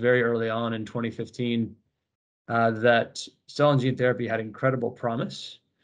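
The background stays quiet. A man with an American accent talks at a moderate speed. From United States. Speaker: biotech company executive. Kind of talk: interview. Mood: enthusiastic, measured. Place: home room. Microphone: video call.

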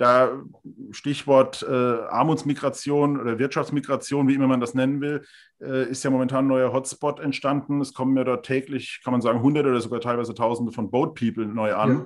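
A man speaks at a fairly quick pace in a monotone, flat delivery. The background is quiet. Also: medium pitch for a man. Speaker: interviewer. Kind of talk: interview questions. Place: home room. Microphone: webcam.

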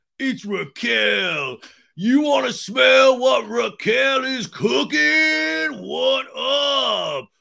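A man's put-on character voice, raised and projected, at an extremely high pitch. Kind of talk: comedic impression of a character. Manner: tough, aggressive.

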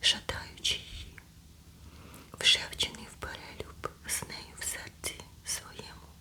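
Whispering very slowly, a woman leaves long, frequent pauses, her loudness swinging widely over noticeable background noise. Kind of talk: ASMR scripture reading. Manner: whispered, soft.

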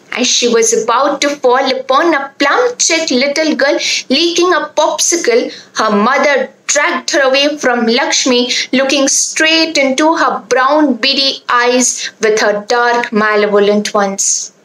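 Audible room echo surrounds a woman speaking fairly slowly in a high voice, with very even loudness and ordinary pitch variation. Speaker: student storyteller. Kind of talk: storytelling. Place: home room. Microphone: phone near.

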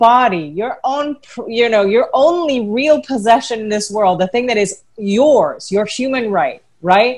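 Against a quiet background, a woman speaks at a moderate pace in a high voice with very wide pitch swings. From Philippines. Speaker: former showbiz personality and advocate; webinar panelist. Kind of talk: webinar panel discussion. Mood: earnest, emotional. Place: home room. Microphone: earbuds.

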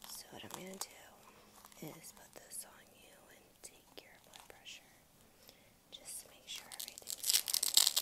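Loud background noise behind a woman's fairly slow speech. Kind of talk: soft roleplay talk to viewer. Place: home room. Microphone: earbuds.

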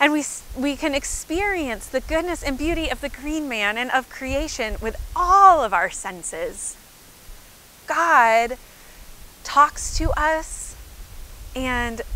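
A woman's raised, projected voice at a very slow pace, with long, frequent pauses and a dry sound with no echo. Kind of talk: children's sermon. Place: open country. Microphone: lapel.

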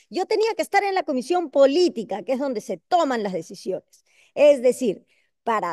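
Against a quiet background, a woman speaks at a fairly slow pace with a high pitch, very wide pitch swings and a dark, mellow tone, the sound dry with no echo. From Peru. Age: 60s. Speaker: congresswoman; panelist. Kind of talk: panel discussion. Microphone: video call.

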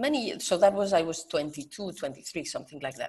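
A woman with a Spanish accent speaks at a fairly low pitch. Her pitch swings very widely. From Spain. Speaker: professor and natural vision educator. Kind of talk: interview. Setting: video call.

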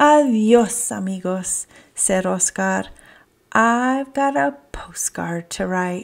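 The speaker reads in a natural reading voice. That voice holds for the whole clip.

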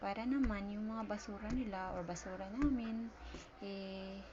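The woman's voice sits at a medium pitch with ordinary pitch variation and a moderate pace. Audible room echo and noticeable background noise surround her. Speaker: vlogger and store vendor. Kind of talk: casual vlog narration. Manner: halting, many fillers.

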